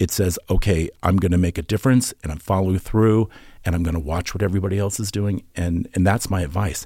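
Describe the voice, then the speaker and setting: On a very clean recording with a silent background, a man talks fairly quickly in an American accent. His voice is very deep and low, somewhat breathy, with a dark, mellow tone. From Norfolk, Virginia. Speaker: costume designer and visual artist. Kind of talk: interview.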